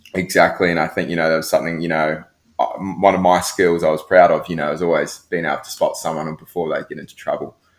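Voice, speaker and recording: A man with a New Zealand accent talks at a fairly quick pace. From New Zealand, Christchurch. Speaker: professional lifeguard. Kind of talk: podcast interview. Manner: hesitant, many fillers.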